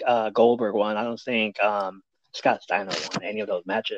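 In an American accent, a man talks at a moderate pace, the sound dry and close with no echo. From Sacramento, California. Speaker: podcast host. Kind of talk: casual chat, podcast banter. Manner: animated, joking, ring-announcer style showman intro.

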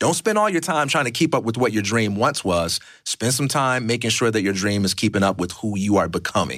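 This is an ordinary speaking voice, a man's at medium pitch, talking at a fairly quick pace with lively intonation and hardly any pauses. His loudness stays very even on a very clean recording with a silent background. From US Midwest. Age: 40s. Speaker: podcast guest. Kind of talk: casual interview.

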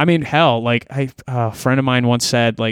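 In a Canadian accent, a man speaks at a fairly slow pace. He has an unremarkable speaking voice. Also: dry, close sound with no echo. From rural Ontario, Canada. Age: 20s. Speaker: musician and content creator. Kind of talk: casual chat. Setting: remote call.

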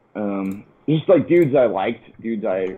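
There is noticeable background noise in this clip. A man talks with an American accent. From Connecticut, US. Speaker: touring metal musician. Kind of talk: casual chat.

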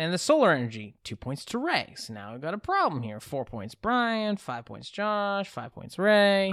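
On a very clean recording with a silent background, a man with an American accent speaks at a high pitch and a moderate pace, with very wide pitch swings, big swings in loudness and hardly any pauses. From Massachusetts. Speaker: quiz show host. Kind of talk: comedic quiz show banter.

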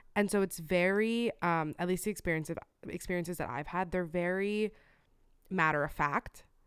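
A woman with a plain, everyday voice talks at a fairly low pitch and moderate pace, with ordinary pitch variation. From US, Cuban-American family. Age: 20s. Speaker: podcast co-host. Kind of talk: casual chat. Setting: video call.

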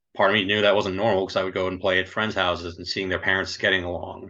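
The voice belongs to a man with an American accent. His pitch is very deep and low. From US Northeast, New Jersey. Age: 40s. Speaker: army veteran in recovery. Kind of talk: personal testimony interview.

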